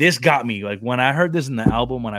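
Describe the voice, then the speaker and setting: A man speaks very fast in a very clean recording with a silent background. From Brooklyn, New York. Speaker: podcast host. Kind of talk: casual chat. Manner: animated.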